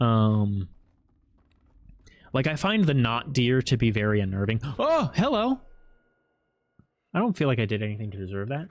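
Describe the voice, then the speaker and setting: A man's medium-pitched voice with an American accent, lively intonation, a moderate pace and long, frequent pauses, on a very clean recording with a silent background. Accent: nondescript American. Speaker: game streamer. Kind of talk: live gameplay commentary. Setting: live stream.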